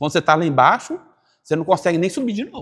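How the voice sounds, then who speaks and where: The recording is very clean, with a silent background. A man speaks in an animated tone with lively intonation. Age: 50s. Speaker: business course teacher, online creator. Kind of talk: casual interview conversation.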